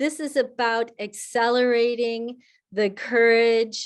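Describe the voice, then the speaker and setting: Against a quiet background, a woman with an unremarkable speaking voice and a fairly high pitch talks at a fairly slow pace. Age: 60s. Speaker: climate coach. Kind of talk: webinar talk with Q&A.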